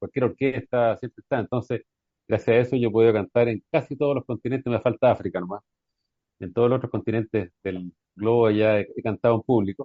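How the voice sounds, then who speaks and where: A man talks at a very fast pace in a Chilean accent. His voice sits at medium pitch with fairly even intonation. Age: 60s. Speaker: folk singer. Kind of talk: radio interview.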